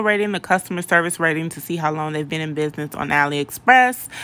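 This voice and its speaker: Bright and sharp in tone, a woman speaks at a fairly low pitch. Her intonation is lively. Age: 30s. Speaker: beauty YouTuber, wig reviewer. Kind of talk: casual vlog review; casual vlog chat. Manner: casual, filler-heavy. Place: bathroom. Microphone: phone near.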